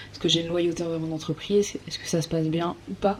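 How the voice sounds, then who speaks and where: This woman talks at a very fast pace, her pitch fairly low and her pitch variation ordinary. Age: 20s. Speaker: psychology student. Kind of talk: casual educational talk to camera.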